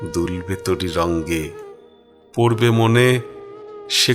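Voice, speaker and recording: Backed by music, a man with a somewhat deep voice talks with normal rises and falls in pitch. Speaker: reciter. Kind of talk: poetry reading. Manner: emotional, mournful.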